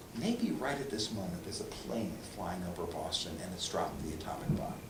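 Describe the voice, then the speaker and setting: Over noticeable background noise and audible room echo, a man talks at a moderate pace with very wide pitch swings. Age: 60s. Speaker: Vietnam veteran and pastor. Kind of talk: interview testimony to students. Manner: halting, many fillers.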